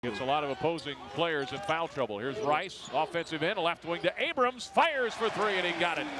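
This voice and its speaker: Against noticeable background noise, a man with a high pitch talks at a fairly quick pace with very wide pitch swings and hardly any pauses. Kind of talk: live sports commentary. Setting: basketball game broadcast. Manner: rapid-fire play-by-play, animated, pitched up on big shots; chatty, laughs at odd plays.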